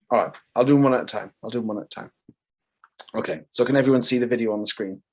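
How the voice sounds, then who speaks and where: Speaking with a Welsh accent, a man at a medium pitch talks at a very fast pace. His intonation stays fairly even. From Wales. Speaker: composer. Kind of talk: casual presentation.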